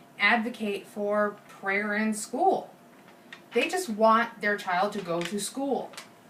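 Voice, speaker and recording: The speech moves at a fairly slow pace with audible room echo. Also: woman. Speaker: student. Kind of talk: persuasive presentation. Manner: halting, self-correcting.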